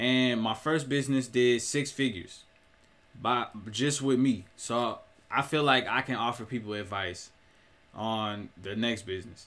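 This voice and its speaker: The pace is fairly slow, with ordinary pitch variation. The speaker is a man. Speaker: entrepreneur vlogger. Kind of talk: casual vlog chat. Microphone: webcam.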